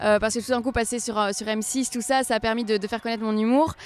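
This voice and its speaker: A woman talks at a very fast pace in a high pitch. Her intonation stays fairly even. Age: 30s. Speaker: stand-up comedian. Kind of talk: interview answer.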